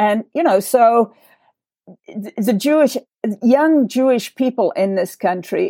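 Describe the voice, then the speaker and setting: A woman with an English accent and a dark, mellow tone speaks at a fairly slow pace, recorded dry and close with no echo. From England. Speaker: writer, nonprofit president. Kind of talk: discussion; scripted sign-off. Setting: video call.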